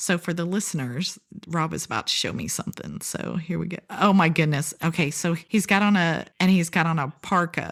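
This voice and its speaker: With a slight Southern US accent, a woman talks at a moderate pace with vocal fry and hardly any pauses. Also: fairly low pitch for a woman. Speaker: podcast host. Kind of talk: podcast interview. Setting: video call. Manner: animated.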